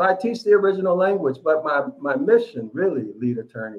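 A man with lively intonation, against a quiet background. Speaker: biblical Hebrew teacher. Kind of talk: casual live stream chat. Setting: video call. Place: home room. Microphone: video call.

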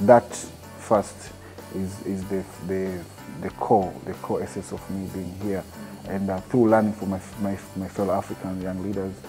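Over clear background music, a man with a very deep, low pitch talks at a moderate pace with fairly even intonation. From Tanzania. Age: 30s. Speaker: TV presenter and producer. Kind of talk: interview answer. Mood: calm, earnest. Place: meeting room. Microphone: lapel.

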